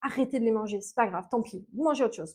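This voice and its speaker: On a very clean recording with a silent background, a woman with a Mediterranean accent speaks in a dark, mellow tone with ordinary pitch variation. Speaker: naturopath. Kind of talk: live-stream talk. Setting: live video stream. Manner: hesitant, many fillers.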